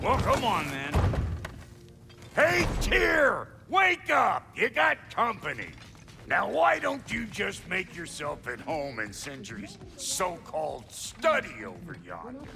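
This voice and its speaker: A put-on character voice from a man, fairly slow, against clear background noise. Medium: video game. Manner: folksy, crude.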